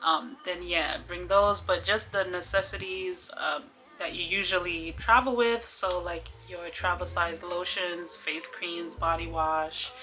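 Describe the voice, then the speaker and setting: Speaking at a fairly slow pace, a woman with a New York accent is heard over noticeable background noise. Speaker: travel vlogger. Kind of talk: tutorial. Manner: casual, many filler ums.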